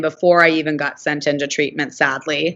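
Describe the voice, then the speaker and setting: A woman with an American accent speaks at a moderate pace in a bright, sharp tone, her intonation fairly even. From Southern California, San Diego area. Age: 30s. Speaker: abuse survivor. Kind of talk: interview testimony. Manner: hesitant, many fillers.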